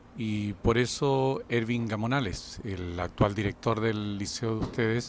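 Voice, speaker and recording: Someone speaks at a fairly slow pace with fairly even intonation. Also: man, medium pitch for a man. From Chile, Concepción area. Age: 60s. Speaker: former student. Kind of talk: testimony. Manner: halting.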